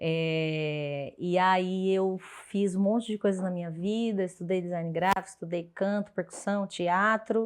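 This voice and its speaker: Speaking at a fairly slow pace in a São Paulo accent, a woman with a medium pitch is heard against a quiet background. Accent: Brazilian Portuguese, São Paulo (paulistano). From Brazil, São Paulo south zone. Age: 30s. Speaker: podcast guest, expat sharing career story. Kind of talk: casual interview, personal storytelling. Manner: animated, expressive.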